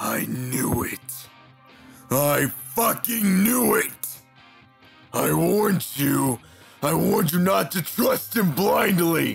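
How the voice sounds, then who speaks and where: A man in a cartoonish character voice speaks very slowly at a fairly high pitch, with faint music in the background. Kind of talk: fan comic dub acting. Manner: angry, scolding, bitter.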